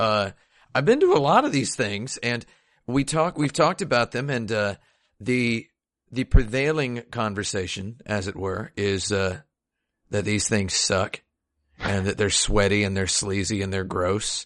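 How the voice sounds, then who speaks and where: Over a quiet background, a man uses an ordinary speaking voice at a fairly low pitch and fairly slow pace with ordinary pitch variation. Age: 30s. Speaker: video game podcast host. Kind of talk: casual chat.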